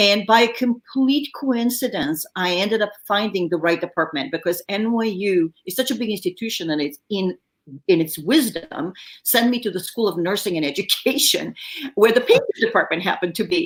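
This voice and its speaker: A woman talks at a moderate pace in a medium pitch. Her intonation is lively. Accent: French. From Bulgaria. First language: French. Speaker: film production designer. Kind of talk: interview. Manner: dramatic inflection; animated.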